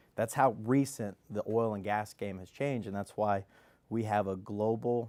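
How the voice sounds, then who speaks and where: The speaker has an American accent and a moderate pace. The recording is very clean, with a silent background. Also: man. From Kansas, US Midwest. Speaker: oil and gas company executive. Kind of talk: radio interview.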